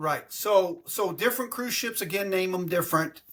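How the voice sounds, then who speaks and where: With a Texan accent, a man talks in a high pitch with a bright, sharp tone and lively intonation. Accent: Texan American English. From Texas. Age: 60s. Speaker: travel agent. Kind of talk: casual interview. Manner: animated.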